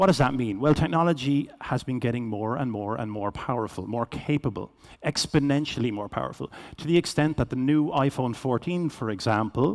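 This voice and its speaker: With a Cork accent, a man talks at a fairly quick pace in a very clean recording with a silent background. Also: medium pitch for a man, ordinary pitch variation. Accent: Irish (Cork). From Ireland, Cork. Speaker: business executive, keynote speaker. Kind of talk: keynote presentation. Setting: stage with audience. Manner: fast.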